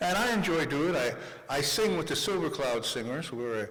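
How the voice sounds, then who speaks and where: A man is heard over noticeable background noise, with audible room echo. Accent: American. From New York City, Manhattan. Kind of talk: conference speech.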